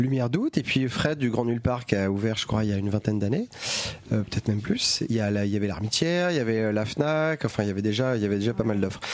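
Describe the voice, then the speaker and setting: Amid noticeable background noise, a man at medium pitch speaks very fast with ordinary pitch variation and very even loudness. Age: 40s. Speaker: comic bookshop owner. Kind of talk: casual chat. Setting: bookshop.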